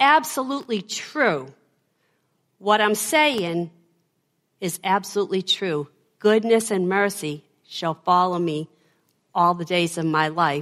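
A woman with a Boston accent talks at a fairly slow pace. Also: very clean recording, silent background. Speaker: preacher. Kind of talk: sermon.

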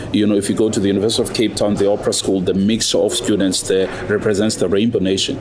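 At a very fast pace and with hardly any pauses, a man speaks with monotone, flat intonation, very even loudness and a fairly low pitch against noticeable background noise. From South Africa. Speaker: opera singer. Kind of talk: interview.

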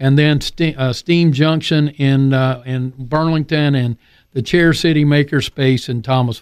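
On a very clean recording with a silent background, an unremarkable speaking voice moves at a fairly slow pace with ordinary pitch variation. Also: man. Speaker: maintenance expert and maker movement advocate. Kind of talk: casual radio interview. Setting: radio studio.

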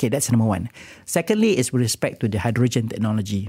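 A man's medium-pitched voice with a dark, mellow tone, on a very clean recording with a silent background. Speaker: renewable energy executive. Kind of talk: radio interview. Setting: studio. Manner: halting.

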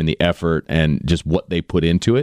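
A man's voice at a moderate pace with ordinary pitch variation, dry and close with no echo, on a very clean recording over a silent background. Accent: American. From Indiana, South Bend area. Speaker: high school baseball coach and football analyst. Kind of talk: casual interview.

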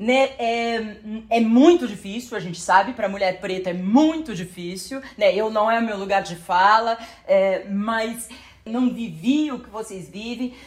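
Speaking at a fairly slow pace, a woman with an unremarkable speaking voice and fairly high pitch shows ordinary pitch variation and big swings in loudness. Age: 40s. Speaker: journalist. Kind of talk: casual chat.

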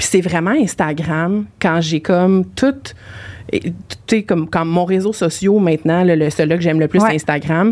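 A woman with a fairly low pitch speaks at a moderate pace, using ordinary pitch variation, very even loudness, and long, frequent pauses. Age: 30s. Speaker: podcast guest, team leader and author. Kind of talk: casual chat. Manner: animated.

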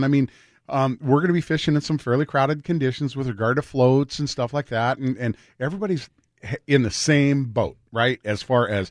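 A man with fairly high pitch speaks at a moderate pace with lively intonation. The sound is dry and close with no echo, and the background is quiet. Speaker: radio host. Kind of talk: casual chat. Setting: studio. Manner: animated.

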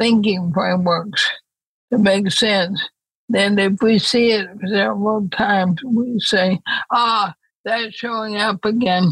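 The voice is somewhat breathy. The pace is very slow. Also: woman. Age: 80s. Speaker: author and thinker. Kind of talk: interview conversation.

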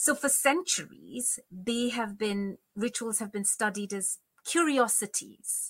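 A woman's very slow speech in a Bengali accent, fairly high in pitch, bright and sharp in tone, with a dry, close sound and no echo. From India, Bengal (Calcutta). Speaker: Sanskrit scholar, lecturer. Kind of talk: interview conversation. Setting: remote call.

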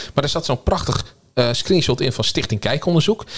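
An unremarkable speaking voice, this man's talk runs at a fairly quick pace with lively intonation. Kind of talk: casual panel discussion.

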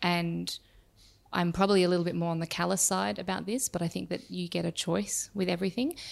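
A woman's fairly low voice with an Australian accent, lively intonation and a fairly quick pace, on a very clean recording against a silent background. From Perth, Western Australia. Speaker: startup CEO. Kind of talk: interview.

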